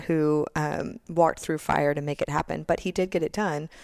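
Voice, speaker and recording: In a dry, close sound with no echo, a woman with an ordinary speaking voice and a fairly low pitch talks at a moderate pace with fairly even intonation. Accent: American. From Texas, Austin. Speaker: education policy advocate. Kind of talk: interview.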